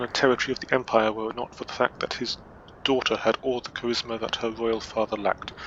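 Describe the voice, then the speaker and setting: Very fast male speech at a medium pitch with a slight Scottish accent and monotone, flat intonation, over noticeable background noise. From Scotland. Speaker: gaming video creator. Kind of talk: reading aloud. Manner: halting, stumbles and self-corrects.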